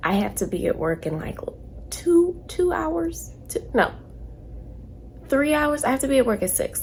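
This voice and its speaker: Noticeable background noise runs under the recording. The speech moves at a fairly slow pace. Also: woman. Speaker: truck driver vlogger. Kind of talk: casual vlog.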